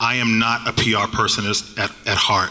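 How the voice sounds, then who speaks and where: A man speaks at a fairly quick pace with a slight Boston accent. Background noise is noticeable. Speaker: digital marketing agency panelist. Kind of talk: panel discussion. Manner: halting.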